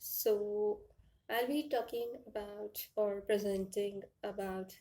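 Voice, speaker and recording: The speaker has an Indian accent and fairly even intonation. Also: woman. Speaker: author and indie publisher. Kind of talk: conference presentation. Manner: halting, with fillers.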